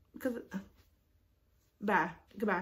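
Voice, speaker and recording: Here a woman talks at a moderate pace. Her voice is somewhat breathy. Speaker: vlogger. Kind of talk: casual vlog chat. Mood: annoyed, animated ranting. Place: home room. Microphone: phone near.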